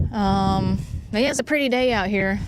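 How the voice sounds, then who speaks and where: Noticeable background noise and audible room echo surround the recording. A woman talks at a medium pitch. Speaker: outdoor vlogger. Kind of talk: casual livestream chat. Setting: outdoors on a dock. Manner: halting, many fillers.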